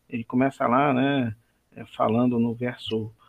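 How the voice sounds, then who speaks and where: The man talks at a medium pitch with fairly even intonation. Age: 40s. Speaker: church elder and biology teacher. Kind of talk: Bible study discussion.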